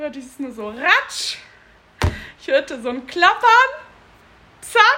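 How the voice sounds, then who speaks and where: With noticeable background noise behind it, the voice is raised and projected, its intonation lively. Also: woman. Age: 30s. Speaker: podcast co-host. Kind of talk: casual chat. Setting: in person at co-host's home.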